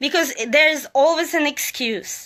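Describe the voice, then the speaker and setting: In a raised, projected voice with a non-native accent, the speaker talks at a very slow pace with lively intonation and a bright, sharp tone. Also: woman. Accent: foreign. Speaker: motivational live streamer. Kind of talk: motivational talk. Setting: live social media stream.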